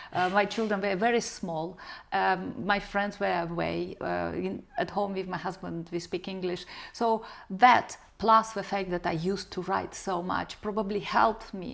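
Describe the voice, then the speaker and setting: In a very clean recording with a silent background, a woman with a Romanian accent speaks at a moderate pace with vocal fry, a medium pitch and fairly even intonation. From Moldova. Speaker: novelist, former journalist. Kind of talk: interview.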